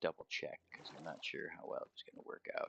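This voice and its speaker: Mumbled speech with music in the background. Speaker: gaming streamer. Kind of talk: live gameplay stream. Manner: mumbling; casual, thinking aloud.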